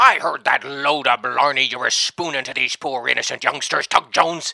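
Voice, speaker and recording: Dry, close sound with no echo, a man's fairly high pitch, fairly even intonation, and a moderate pace. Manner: scornful, blustering.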